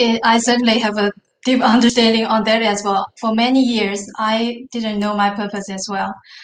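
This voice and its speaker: A woman talks at a moderate pace in a fairly high voice. Her intonation is monotone and flat. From northern China. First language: Chinese. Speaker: business consultant and manufacturer. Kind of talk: interview.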